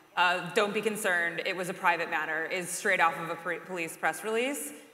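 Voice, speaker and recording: The speaker has an American accent and a fairly quick pace. Noticeable background noise is heard throughout. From Chicago, southwest side. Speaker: journalist. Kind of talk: panel discussion.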